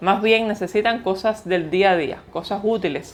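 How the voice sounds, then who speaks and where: Here is a woman with a normal speaking voice. Her pitch is medium and her intonation fairly even. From Cuba. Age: 30s. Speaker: vlogger. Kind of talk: casual vlog talk to camera.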